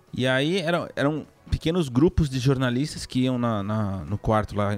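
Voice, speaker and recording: Here is a man with a normal speaking voice at medium pitch and lively intonation. The recording is very clean, with a silent background. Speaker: video game journalist. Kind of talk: casual chat.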